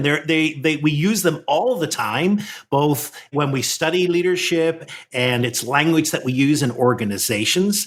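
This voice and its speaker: The intonation is lively, in an Irish accent. The pace stays moderate. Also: man. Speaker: leadership coach. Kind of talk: podcast conversation.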